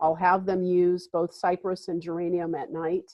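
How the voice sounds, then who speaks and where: At a moderate pace, a woman with an unremarkable speaking voice talks at medium pitch. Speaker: wellness practitioner, essential oils and tapping. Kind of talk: webinar presentation. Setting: live webinar, video call.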